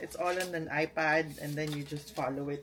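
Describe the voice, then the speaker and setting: A woman talks at a fairly slow pace. Behind her, music plays. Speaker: vlogger. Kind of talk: casual vlog unboxing. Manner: animated.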